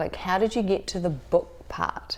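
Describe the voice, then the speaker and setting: A woman talks at a fairly slow pace in a fairly low pitch. Noticeable background noise runs behind her. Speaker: podcast host. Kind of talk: interview questions and casual conversation.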